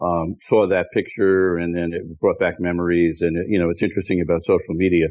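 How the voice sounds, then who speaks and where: Speaking at a fairly quick pace, a man has a very deep, low pitch. His voice stays low throughout. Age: 60s. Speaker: pharmacy consultant. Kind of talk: podcast interview.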